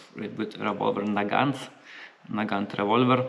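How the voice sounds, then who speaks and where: A man's fairly low, monotone voice with flat intonation at a moderate pace, amid noticeable background noise and audible room echo. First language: not English (English is third language). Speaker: gun reviewer. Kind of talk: product review. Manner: halting, many fillers.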